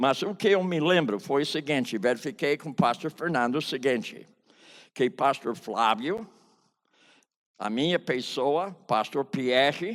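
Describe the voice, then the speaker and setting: Speaking at a fairly slow pace, a man with a fairly high pitch uses lively intonation in a very clean recording with a silent background. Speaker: pastor and biblical counseling teacher. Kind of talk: testimony. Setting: conference stage with audience.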